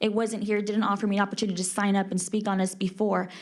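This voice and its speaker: A woman speaks at a medium pitch in a monotone, flat delivery, with audible room echo around her. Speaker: public commenter, Senate candidate. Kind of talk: public comment at council meeting. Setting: city council chamber. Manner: loud.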